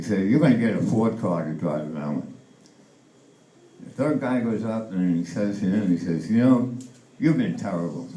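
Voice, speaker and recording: A man's voice carries a dark, mellow tone, vocal fry and lively intonation. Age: 80s+. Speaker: amateur stand-up comedian. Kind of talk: stand-up comedy set.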